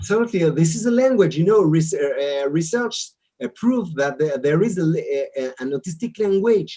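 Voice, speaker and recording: Dark and mellow in tone, a man with an Israeli accent speaks with very wide pitch swings. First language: Hebrew. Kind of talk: interview. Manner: halting, many repetitions and fillers.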